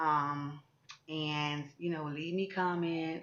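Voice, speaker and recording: A woman's monotone, flat intonation against noticeable background noise. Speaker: vlogger. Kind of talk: casual vlog monologue. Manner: halting.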